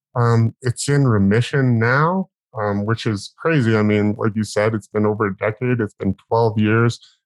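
A man with a normal speaking voice, very even loudness, ordinary pitch variation, and a moderate pace. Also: medium pitch for a man. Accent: Canadian. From northern British Columbia, Canada. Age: 30s. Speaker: cancer survivor. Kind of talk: interview.

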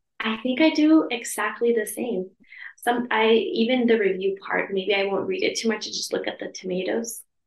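A woman talks with an American accent at a moderate pace. Her intonation is lively. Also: fairly high pitch for a woman. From US West Coast, Los Angeles. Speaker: English teacher. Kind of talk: casual chat.

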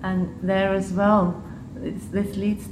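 The words come from a woman at a very slow pace. Behind her, background noise is noticeable. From Switzerland and Liechtenstein, half English. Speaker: public health official. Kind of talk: casual interview. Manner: halting, with fillers.

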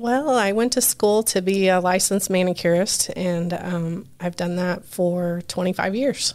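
A woman with an American accent speaks at a fairly slow pace and medium pitch in a plain, everyday voice. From US Midwest, Richmond, Indiana. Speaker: pub owner. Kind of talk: interview.

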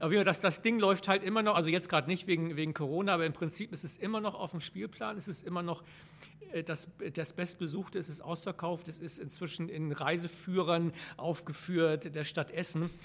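Fairly quick speech comes from a man with a high pitch. His intonation stays fairly even. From northern Germany, Flensburg. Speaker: theatre director and actor. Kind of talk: casual interview.

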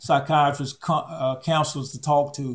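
A somewhat breathy voice speaks at a very slow pace. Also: man. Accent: Southern US. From Alabama. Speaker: retired public health official. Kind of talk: interview. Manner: halting.

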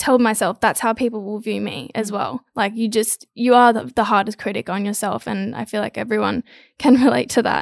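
Recorded very cleanly with a silent background and a dry, close sound with no echo, a woman with an Australian accent talks at a moderate pace in a fairly high pitch. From Australia, Gold Coast. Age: 20s. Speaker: model and influencer. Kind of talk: casual chat.

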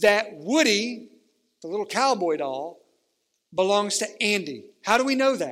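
Speaking at a fairly slow pace, a man with a high pitch uses lively intonation, and audible room echo can be heard. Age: 40s. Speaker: pastor. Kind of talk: sermon. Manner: animated.

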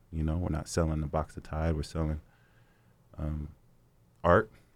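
In a very clean recording with a silent background, a man with a very deep, low voice talks with an American accent. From Sacramento, California. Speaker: music label executive. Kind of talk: interview.

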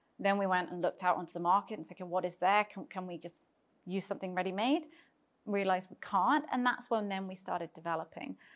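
A woman of medium pitch speaks very fast with a British accent and big swings in loudness, in a very clean recording with a silent background. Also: ordinary pitch variation. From Britain. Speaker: tech startup founder. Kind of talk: interview.

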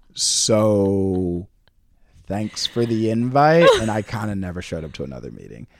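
A man with a fairly low pitch speaks in an animated tone with lively intonation. His pace is moderate, and his loudness swings widely. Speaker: university alumnus, product manager. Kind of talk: casual interview chat. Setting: in-person recording with a dog present.

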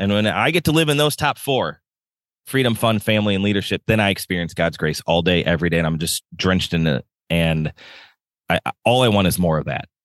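A man's fairly low voice, fairly quick pace and very wide pitch swings, dry and close with no echo, against a quiet background. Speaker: podcast guest, life coach. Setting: outdoors, video call. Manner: fast talker.

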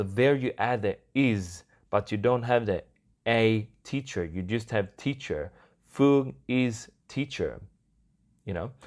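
The speech moves at a very slow pace with long, frequent pauses and ordinary pitch variation, on a very clean recording with a silent background. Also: man, medium pitch for a man. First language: Swedish. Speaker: podcast host and YouTuber. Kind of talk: casual solo podcast monologue. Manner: casual, conversational, fillers.

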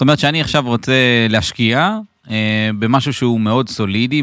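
On a very clean recording with a silent background, a man races along at a very fast pace. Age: 30s. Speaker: podcast host, real estate investment advisor. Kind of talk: podcast interview.

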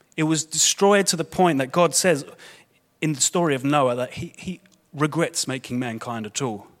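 A man speaks with a London accent. His pace is moderate and his pitch variation ordinary. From London, England. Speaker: guest preacher. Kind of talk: sermon. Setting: church. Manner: informal, conversational.

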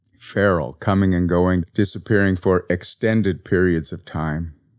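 Against a quiet background, a man speaks with a very deep, low pitch, a gentle tone and fairly even intonation. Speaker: podcast host and author. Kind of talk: eulogy for a pet cat, read in a reflective spiritual-talk style, after a poem reading. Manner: gentle, tender and contemplative; slow, reflective and heartfelt.

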